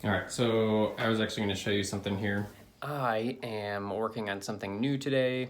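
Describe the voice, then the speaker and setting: Audible room echo surrounds a man speaking at a fairly quick pace with a fairly low pitch and fairly even intonation. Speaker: vlogger, remote tech worker. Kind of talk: casual vlog chat. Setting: home office. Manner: loud; casual, chatty.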